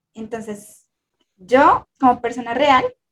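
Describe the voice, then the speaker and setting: With fairly even intonation, the speaker goes at a fairly slow pace. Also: woman. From Colombia. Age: 20s. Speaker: content creator. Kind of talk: casual chat.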